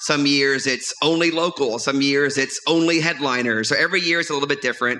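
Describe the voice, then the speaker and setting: Speaking at a fairly quick pace, a man with an American accent has a fairly high pitch, with noticeable background noise behind him. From US South (New Orleans area). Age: 40s. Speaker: stand-up comedian and comedy club runner. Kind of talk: casual chat. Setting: stage with audience. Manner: animated.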